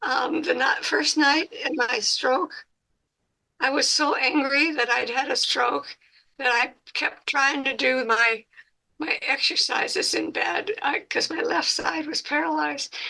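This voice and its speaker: High-pitched and bright with a sharp tone, a woman raises and projects her voice, moving slowly with very wide pitch swings. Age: 80s+. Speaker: stroke survivor, support group member. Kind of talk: support group sharing. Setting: video call.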